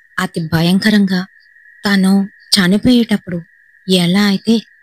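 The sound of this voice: An unforced reading voice carries fairly even intonation from start to finish.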